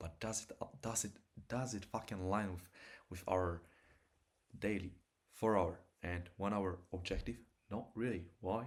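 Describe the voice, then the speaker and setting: A man with a fairly low pitch speaks with long, frequent pauses. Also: fairly even intonation. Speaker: day trader. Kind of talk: trading livestream commentary. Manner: fast.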